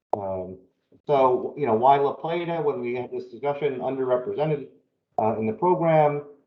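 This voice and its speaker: Audible room echo surrounds a man with a fairly high pitch. He speaks at a moderate pace with ordinary pitch variation. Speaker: planning consultant presenting to town council. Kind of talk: presentation at council work session. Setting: town council meeting. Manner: hesitant with many fillers.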